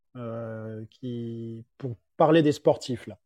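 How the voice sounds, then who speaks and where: Dry and close with no echo, a man's voice carries a dark, mellow tone. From Paris, France. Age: 30s. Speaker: fitness coach and athlete. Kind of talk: casual interview chat.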